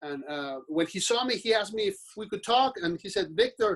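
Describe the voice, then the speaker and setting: A man with a Mexican accent. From Mexico. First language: Spanish. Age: 40s. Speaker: business owner. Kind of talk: podcast interview. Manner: halting.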